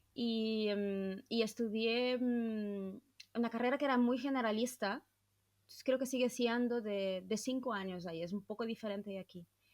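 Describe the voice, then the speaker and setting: With a Brazilian accent, a woman speaks at a moderate pace and a fairly high pitch, her intonation fairly even. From southern Brazil. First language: Portuguese (speaking Spanish). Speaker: podcast host, psychologist. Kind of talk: casual interview chat.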